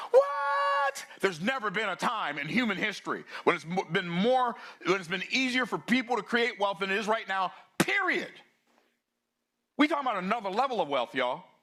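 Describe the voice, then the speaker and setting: A man's raised, projected voice, high-pitched, bright and sharp, with an animated tone, very wide pitch swings and a fairly quick pace. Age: 60s. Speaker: business speaker. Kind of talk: keynote talk.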